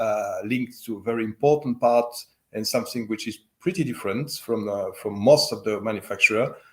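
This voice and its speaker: A man speaks at a moderate pace with a slight French accent. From French-speaking Switzerland. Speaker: loudspeaker company owner. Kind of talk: interview. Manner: halting, many fillers.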